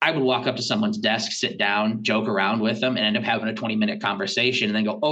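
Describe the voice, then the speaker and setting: Audible room echo surrounds a man talking at a very fast pace with hardly any pauses, very even loudness and ordinary pitch variation. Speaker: school technology director. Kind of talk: podcast interview. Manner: halting.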